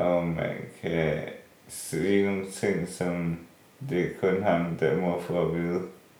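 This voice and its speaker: Speaking at a very slow pace, a man delivers flat, monotone intonation in a very deep, low pitch, with audible room echo. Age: 30s. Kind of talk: interview. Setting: at home in his apartment.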